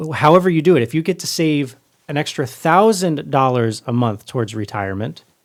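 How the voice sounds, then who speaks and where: A plain, everyday voice. The pace is fairly quick. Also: man. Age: 20s. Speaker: podcast host. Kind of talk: casual chat.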